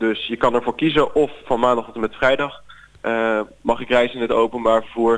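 A man's medium-pitched speech comes out at a fairly quick pace. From Netherlands, Zeeland. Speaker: student representative. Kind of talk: interview. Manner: hesitant with fillers.

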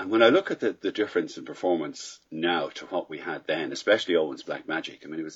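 Talking very fast with hardly any pauses, a man makes big swings in loudness. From Ireland, Dublin. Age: 60s. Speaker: paragliding pilot. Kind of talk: casual interview answers.

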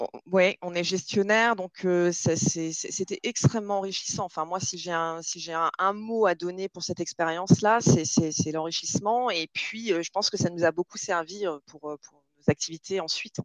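A woman with a plain, everyday voice talks at a medium pitch and a fairly slow pace, with ordinary pitch variation. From southern France, Nîmes. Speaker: recruitment manager. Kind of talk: interview.

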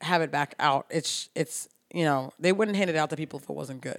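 Very clean and silent in the background, the recording has a woman speaking at a fairly quick pace. She has an unremarkable speaking voice, fairly low in pitch, with ordinary pitch variation. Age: 30s. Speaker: podcast co-host. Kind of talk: casual chat.

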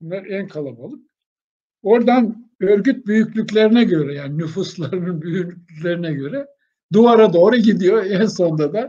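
A man with a high pitch and a dark, mellow tone speaks at a moderate pace, his intonation lively and his loudness swinging widely. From Aegean Turkey, Denizli village. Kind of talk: interview, life story.

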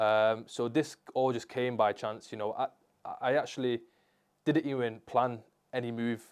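A man speaks at a moderate pace with a strong Manchester accent. His intonation stays fairly even, broken by long, frequent pauses. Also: medium pitch for a man. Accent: Manchester (Mancunian), strong. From Manchester, England. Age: 20s. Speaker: sports rehabilitation therapist. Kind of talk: casual interview chat. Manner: casual, slangy.

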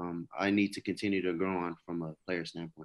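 A man with an unremarkable speaking voice and an American accent, fairly even intonation, a fairly quick pace, quiet background. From California. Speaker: former college football player preparing for the draft. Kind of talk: interview.

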